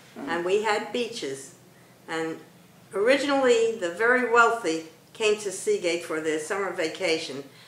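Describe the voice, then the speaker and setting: Over noticeable background noise, a woman with an American accent speaks with lively intonation. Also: medium pitch for a woman, moderate pace. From Brooklyn, New York. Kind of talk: interview answer.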